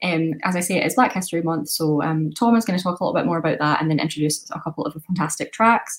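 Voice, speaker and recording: With a Scottish accent and a fairly low pitch, a woman talks very fast in a somewhat breathy voice, with ordinary pitch variation and hardly any pauses. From west of Scotland. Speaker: student radio presenter. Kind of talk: casual radio show presenting.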